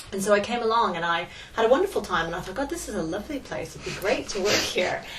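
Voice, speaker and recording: A woman with an American accent talks at a very fast pace, her pitch medium and her intonation lively, with big swings in loudness. There is noticeable background noise and audible room echo. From California, US. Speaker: history lecturer. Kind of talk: interview. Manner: hesitant, many fillers.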